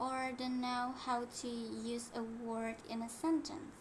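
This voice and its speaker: Heard with audible room echo, a woman talks very slowly in a high-pitched voice. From Indonesia. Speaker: English learner. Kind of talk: class presentation. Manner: halting.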